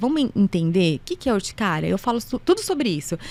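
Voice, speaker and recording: A woman talks at a very fast pace. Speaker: allergist and immunologist doctor. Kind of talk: casual interview.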